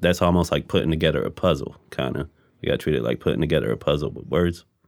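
The speaker talks at a very fast pace with vocal fry and ordinary pitch variation. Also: man. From moved around: Persian Gulf, Egypt, US. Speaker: rapper. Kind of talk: interview.

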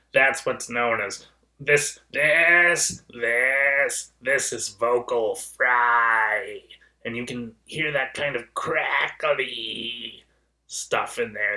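A man's put-on character voice, raspy and creaky, at medium pitch and a very slow pace. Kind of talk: demonstration of a voice register.

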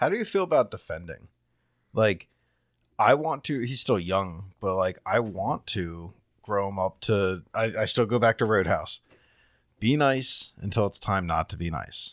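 This very clean recording with a silent background carries lively intonation at a fairly slow pace. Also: man, fairly low pitch for a man. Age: 30s. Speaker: podcast co-host. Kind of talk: casual chat.

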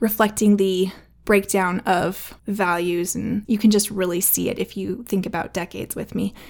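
Set against a silent background in a very clean recording, a woman with an ordinary speaking voice talks at a fairly quick pace and medium pitch, her intonation fairly even. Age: 30s. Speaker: podcast host, mother and former teacher. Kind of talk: solo casual podcast talk. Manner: warm, chatty with frequent laughs.

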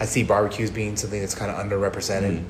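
Over noticeable background noise, a man with an American accent speaks at a fairly low pitch. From US. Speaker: bar owner and brewer. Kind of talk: casual interview chat.

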